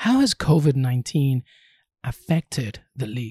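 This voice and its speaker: A somewhat breathy voice at a fairly slow pace with ordinary pitch variation, dry and close with no echo, in a very clean recording with a silent background. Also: man. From Peru. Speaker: sports podcast host. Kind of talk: interview.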